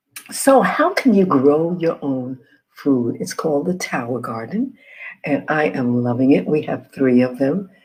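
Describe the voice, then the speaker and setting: Soft-spoken and fairly slow, a woman speaks with lively intonation in a very deep, low voice of dark, mellow tone. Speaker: health and wellness educator. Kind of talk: informational presentation. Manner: soft-spoken, keeping voice low.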